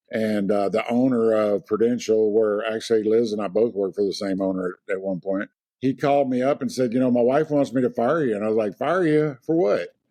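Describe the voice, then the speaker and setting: A dark, mellow tone in a Louisiana accent, at a fairly quick pace with hardly any pauses and ordinary pitch variation, over a quiet background. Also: man, medium pitch for a man. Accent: Louisiana, noticeable. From US South, Lake Charles, Louisiana. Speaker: real estate agent. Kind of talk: interview.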